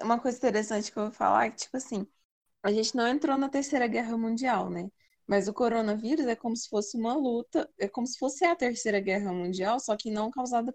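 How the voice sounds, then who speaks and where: With an unremarkable speaking voice, a woman talks at a fairly quick pace and a fairly high pitch, with ordinary pitch variation, in a dry, close sound with no echo. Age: 20s. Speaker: podcast co-host, student. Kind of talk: casual chat.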